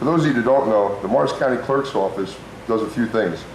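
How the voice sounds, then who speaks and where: Over noticeable background noise and audible room echo, a man with an American accent speaks at a very fast pace with ordinary pitch variation. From New Jersey (Parsippany). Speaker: political candidate. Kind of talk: debate opening statement.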